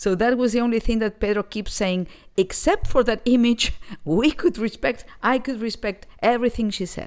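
A voice with a Spanish accent and ordinary pitch variation. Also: woman, fairly high pitch for a woman, moderate pace. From Argentina, Buenos Aires. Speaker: jazz vocalist. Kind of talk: interview.

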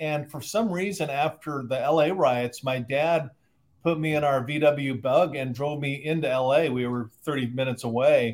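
Talking at a fairly slow pace, a man with an American accent uses a plain, everyday voice that sits fairly high in pitch. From Southern California. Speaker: sociologist and author. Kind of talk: interview. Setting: video call.

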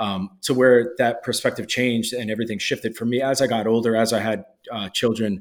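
In an American accent, a man speaks fairly quickly with a normal speaking voice, medium pitch and fairly even intonation. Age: 30s. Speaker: supplement company owner. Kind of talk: casual interview.

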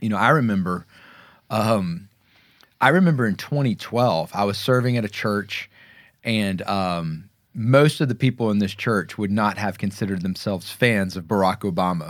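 A man with an American accent has a plain, everyday voice at a fairly low pitch, speaking at a moderate pace with ordinary pitch variation on a very clean recording with a silent background. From US South. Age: 40s. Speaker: pastor. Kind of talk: casual chat. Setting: studio.

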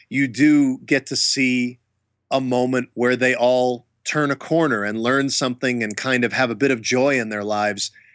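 A man with an American accent has an ordinary speaking voice at a medium pitch with fairly even intonation. The sound is dry and close with no echo, and the background is quiet. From US, small town. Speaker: actor and martial artist. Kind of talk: interview.

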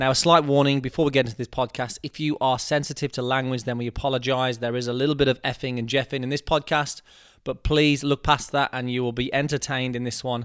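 Recorded with a dry, close sound and no echo, a man talks at a very fast pace with hardly any pauses, his medium-pitched voice monotone and flat. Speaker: golf podcast host. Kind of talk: casual interview chat.

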